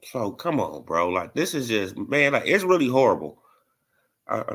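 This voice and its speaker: Over a very clean recording with a silent background, a man with a New Orleans accent speaks at a moderate pace in an animated tone, his pitch swinging very widely. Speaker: boxing YouTube streamer. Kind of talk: live stream commentary.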